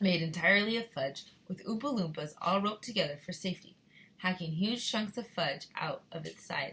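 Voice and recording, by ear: Natural reading aloud with ordinary pitch variation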